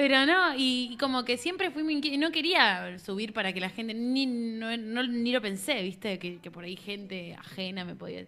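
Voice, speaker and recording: A woman's unremarkable speaking voice, fairly high and lively in intonation, at a moderate pace with hardly any pauses. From Argentina, Buenos Aires northern suburbs. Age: 20s. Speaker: singer-songwriter. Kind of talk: casual chat.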